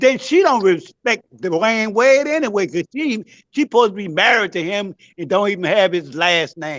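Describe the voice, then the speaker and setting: A man with an animated, bright, sharp tone, very wide pitch swings and a moderate pace. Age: 70s. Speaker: caller on a live discussion stream. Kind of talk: heated debate.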